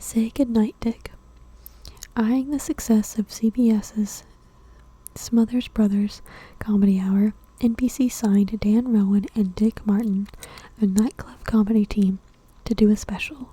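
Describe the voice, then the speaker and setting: Soft-spoken and somewhat breathy, a woman with a fairly high pitch and a dark, mellow tone speaks at a fairly slow pace with fairly even intonation and long, frequent pauses. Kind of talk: ASMR magazine reading.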